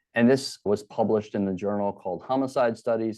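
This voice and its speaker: With a Baltimore accent, the speaker keeps a moderate pace. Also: man. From Baltimore, Maryland. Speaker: criminology professor. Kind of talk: interview. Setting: podcast.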